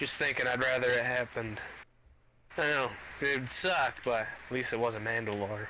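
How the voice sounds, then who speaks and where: Putting on a gruff character voice at medium pitch, a man talks at a moderate pace with long, frequent pauses. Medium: machinima. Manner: blunt, gruff, casual swearing.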